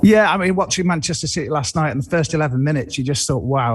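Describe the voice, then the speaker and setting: With a slight Merseyside accent, a man speaks at a fairly high pitch with lively intonation. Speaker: football pundit. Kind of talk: studio discussion. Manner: halting, with restarts.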